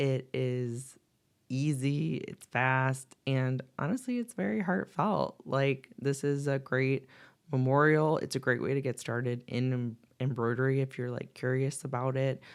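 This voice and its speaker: A woman's very deep, low voice with fairly even intonation at a fairly slow pace, on a very clean recording with a silent background. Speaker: embroidery artist. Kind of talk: tutorial. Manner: casual, chatty.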